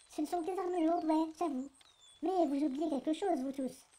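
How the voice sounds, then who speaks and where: In a shrill, put-on character voice, a woman talks at a fairly quick pace with extremely high pitch and fairly even intonation. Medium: audio drama. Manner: bossy, mocking.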